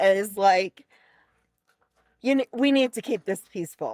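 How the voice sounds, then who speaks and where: The voice is animated, with lively intonation and a dry, close sound with no echo. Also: woman. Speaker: podcast co-host. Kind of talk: casual chat. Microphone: mic placed far away, over half the table.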